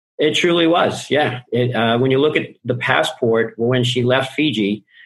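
This is a normal speaking voice. It comes with an American accent. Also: man. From Boston. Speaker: life and business coach. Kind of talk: podcast interview.

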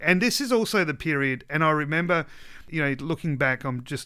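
With an Australian accent, a man speaks in a bright, sharp tone on a very clean recording with a silent background. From South Australia (West Coast). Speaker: pastor. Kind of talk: casual chat. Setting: studio.

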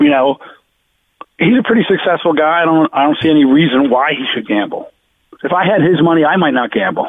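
A man with a New Jersey accent talks with lively intonation. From New Jersey, Jersey Shore. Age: 60s. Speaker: sports bettor, podcast co-host. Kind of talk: casual chat. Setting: in a car.

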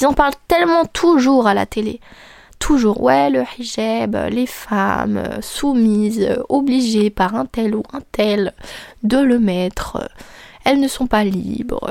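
Soft-spoken and fairly slow, a woman talks with a fairly high pitch and lively intonation. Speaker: podcast host and content creator. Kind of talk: casual monologue. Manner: calm, soft-ish tone.

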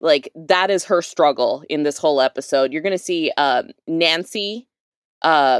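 In an American accent, a woman with a normal speaking voice talks at a fairly low pitch with ordinary pitch variation, the sound dry and close with no echo. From North Texas, Dallas suburbs. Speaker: activist, advocacy group co-founder. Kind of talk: casual chat.

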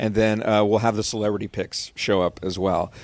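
In an unremarkable speaking voice, a man talks with an American accent at a moderate pace. His intonation stays fairly even. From Rio Grande Valley, Texas. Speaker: TV sports reporter. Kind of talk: casual interview chat.

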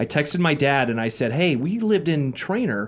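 The speaker has an American accent and very wide pitch swings. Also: man. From Iowa. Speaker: podcast host. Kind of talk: interview.

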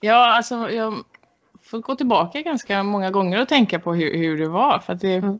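With lively intonation, an unremarkable speaking voice keeps a moderate pace. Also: woman, medium pitch for a woman. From western Sweden, Gothenburg area. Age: 30s. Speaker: Olympic archer. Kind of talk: interview.

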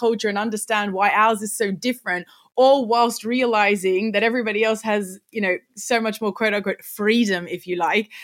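This is a woman with an Australian accent. Her pitch is fairly high and her pace is moderate. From Sydney, Australia. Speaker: content creator and teacher. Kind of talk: casual interview.

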